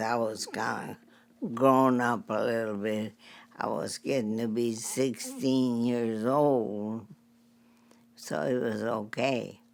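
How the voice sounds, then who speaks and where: A woman with an American accent speaks at a very slow pace. Her pitch is very deep and low, with ordinary variation. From Texas. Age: 90s. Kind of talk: interview answer.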